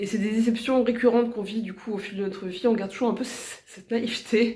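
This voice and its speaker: A woman's fairly high, monotone voice at a very fast pace, with big swings in loudness and audible room echo. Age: 40s. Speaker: vlogger. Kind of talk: vlog monologue. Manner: casual, hesitant with fillers.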